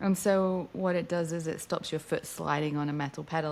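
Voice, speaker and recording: With an American accent, a woman talks at a fairly quick pace. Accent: British with slight American twang. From England. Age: 40s. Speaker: racing driver. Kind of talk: interview.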